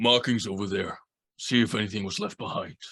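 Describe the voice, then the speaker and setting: A man performs a put-on character voice, raspy and at medium pitch. He talks at a fairly quick pace. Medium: actual play. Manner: terse, gruff.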